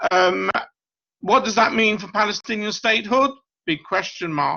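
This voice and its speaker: Someone with a British accent speaks at a moderate pace. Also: man. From Britain. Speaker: professor. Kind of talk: lecture.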